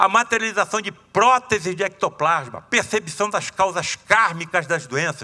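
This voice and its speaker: A man uses a raised, projected voice with a bright, sharp tone at a high pitch. His intonation is lively and his pace moderate. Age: 70s. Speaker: surgeon and spiritist lecturer. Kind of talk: lecture. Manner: casual, animated.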